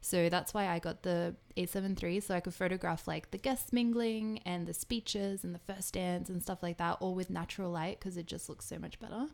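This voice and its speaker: A woman with an Australian accent and medium pitch talks at a fairly quick pace with hardly any pauses and fairly even intonation. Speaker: photographer and video streamer; video streamer. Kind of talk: live stream chat and tutorial. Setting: live stream. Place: home room. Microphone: studio mic.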